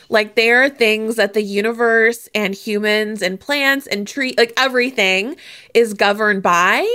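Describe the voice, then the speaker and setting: Pitched fairly high, a woman uses a normal speaking voice with fairly even intonation. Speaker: podcast host and guest speaker. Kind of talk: casual interview conversation. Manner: warm, giggly.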